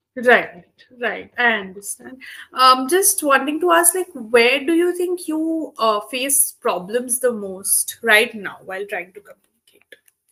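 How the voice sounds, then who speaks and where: A woman's raised, projected voice, high-pitched and bright and sharp in tone, with very wide pitch swings and big swings in loudness at a fairly slow pace. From India, Kolkata. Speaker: English tutor. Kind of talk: online tutoring session.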